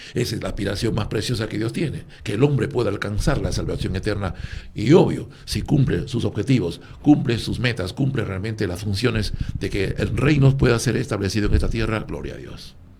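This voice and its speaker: A man talks at a fairly quick pace with a medium pitch and ordinary pitch variation. Room echo is audible. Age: 60s. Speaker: former athlete and religious speaker. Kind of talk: radio panel discussion.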